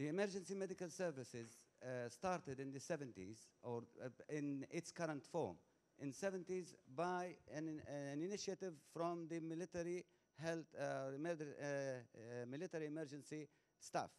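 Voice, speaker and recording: A man with a fairly high pitch speaks at a moderate pace with ordinary pitch variation. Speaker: audience member asking a question. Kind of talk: conference audience question. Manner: loud; halting, repetitive.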